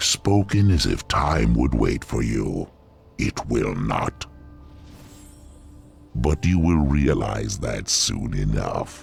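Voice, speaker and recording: Over clear background music, a man puts on a growling character voice, very deep and low in pitch, speaking at a very slow pace with long, frequent pauses. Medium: video game. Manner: condescending.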